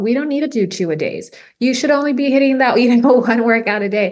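With an American accent, a woman speaks in a plain, everyday voice with ordinary pitch variation. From Rio Grande Valley, Texas. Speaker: podcast host, health and wellness coach. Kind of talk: casual interview chat.

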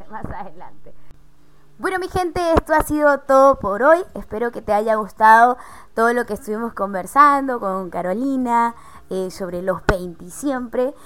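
A woman speaks at a moderate pace in an ordinary speaking voice. Her pitch sits fairly high, with lively intonation. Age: 20s. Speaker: podcast host. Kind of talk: casual chat.

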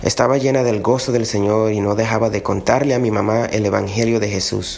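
A man talks at a fairly quick pace, with ordinary pitch variation, against noticeable background noise. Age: 30s. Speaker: electrical engineer, grandson testimony. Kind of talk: prepared testimony.

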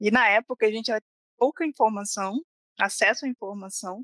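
Dry and close with no echo, a woman's fairly high voice has a bright, sharp tone. She keeps a moderate pace with ordinary pitch variation. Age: 30s. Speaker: software developer. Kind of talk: casual chat.

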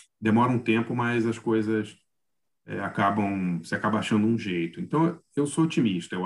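At a moderate pace, an unremarkable speaking voice carries on talking. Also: man. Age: 50s. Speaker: journalist and film critic. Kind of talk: casual chat.

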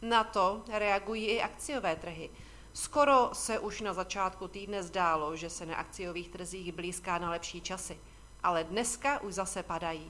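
A woman with an unremarkable speaking voice, medium in pitch, with ordinary pitch variation at a moderate pace. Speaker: financial market commentator. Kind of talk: scripted market commentary. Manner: formal.

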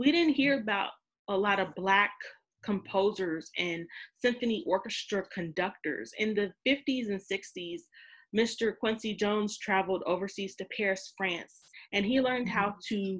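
Here is a woman with an ordinary speaking voice, medium pitch and ordinary pitch variation. She keeps a moderate pace on a very clean recording with a silent background. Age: 30s. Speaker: podcast host. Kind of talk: casual chat.

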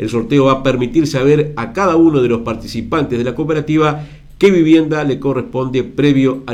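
A man's medium-pitched voice with ordinary pitch variation, at a fairly quick pace, amid audible room echo. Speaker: radio host. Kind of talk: radio interview.

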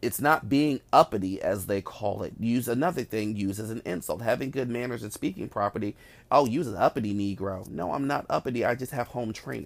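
A man's normal speaking voice in an American accent, medium in pitch with ordinary variation, at a fairly quick pace with hardly any pauses, on a very clean recording with a silent background. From Newark, New Jersey. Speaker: podcast host. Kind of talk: solo monologue podcast.

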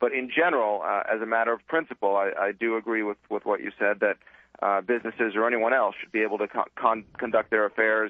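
Man at a very fast pace and medium pitch. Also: fairly even intonation. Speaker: legal scholar. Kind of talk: radio panel discussion. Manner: measured, analytical with fillers.

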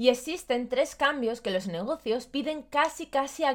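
Over a silent background in a very clean recording, a woman speaks at a moderate pace with lively intonation. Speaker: personal branding podcast host. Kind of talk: solo podcast monologue, scripted advice.

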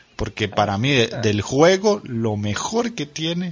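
The speaker is a man. Background noise is noticeable behind him. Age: 30s. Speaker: podcast host. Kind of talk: casual chat.

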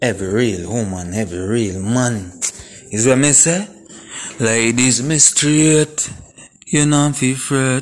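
A man talks at a medium pitch with lively intonation and a very slow pace. Long, frequent pauses break up his speech over noticeable background noise. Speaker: video monologue host. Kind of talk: angry rant. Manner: animated.

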